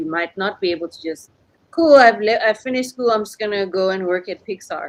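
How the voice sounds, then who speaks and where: This woman speaks with an African accent. Her pitch varies in an ordinary way. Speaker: animation studio owner and podcaster. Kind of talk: panel discussion.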